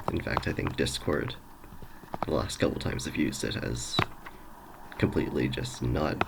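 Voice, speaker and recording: A man talks in a room with audible echo, and noticeable noise fills the background. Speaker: gaming streamer. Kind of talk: let's play commentary. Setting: home recording at night. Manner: quiet; casual, hesitant.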